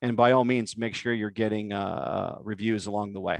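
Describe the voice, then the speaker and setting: Here a man talks with a medium pitch. His intonation is fairly even. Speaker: web design agency founder giving a talk. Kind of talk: webinar presentation with Q&A. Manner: fast.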